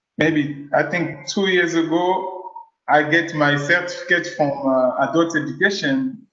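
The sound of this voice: In a Congolese accent, the bright, sharp voice moves at a fairly slow pace with fairly even intonation and audible room echo. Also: man, fairly high pitch for a man. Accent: French-speaking Congolese.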